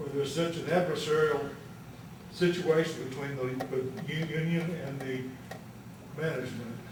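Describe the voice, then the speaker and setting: Amid noticeable background noise and audible room echo, a man with a Texas Gulf Coast accent and fairly high pitch speaks at a moderate pace with fairly even intonation and long, frequent pauses. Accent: Texas Gulf Coast Southern. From Texas, Galveston County. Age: 70s. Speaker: retired labor leader speaking as citizen. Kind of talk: public comment at board meeting. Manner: emphatic, repetitive.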